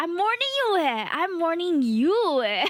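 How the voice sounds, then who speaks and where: A woman speaks in a raised, projected voice at an extremely high pitch. Her pitch swings very widely, and her pace is very slow. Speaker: VTuber streamer. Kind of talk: live stream chat. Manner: animated.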